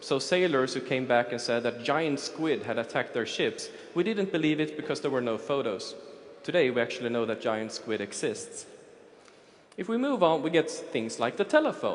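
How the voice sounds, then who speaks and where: A man at a moderate pace with audible room echo. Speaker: futurist. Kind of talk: conference talk. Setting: stage with audience.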